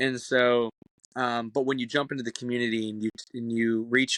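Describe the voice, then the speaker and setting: This man's voice sits at a medium pitch and stays flat and monotone. The sound is dry and close with no echo, and the background is quiet. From Canada. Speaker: folk musician. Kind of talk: podcast interview. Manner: fast.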